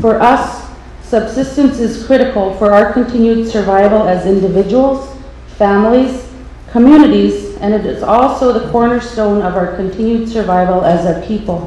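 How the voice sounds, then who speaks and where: Against noticeable background noise and audible room echo, a woman with a fairly high voice speaks at a moderate pace with ordinary pitch variation. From Alaska, Saint Lawrence Island. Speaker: nonprofit leader. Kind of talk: testimony. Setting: public hearing. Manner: formal.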